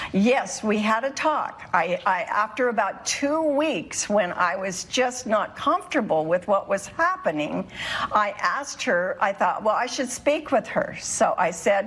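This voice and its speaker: Over noticeable background noise, a woman speaks at a fairly slow pace with very wide pitch swings and hardly any pauses. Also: fairly high pitch for a woman. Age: 70s. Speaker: plaintiff. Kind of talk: courtroom testimony. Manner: halting.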